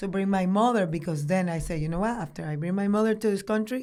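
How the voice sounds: The speaker is a woman with a fairly low pitch. She talks with a Dominican accent.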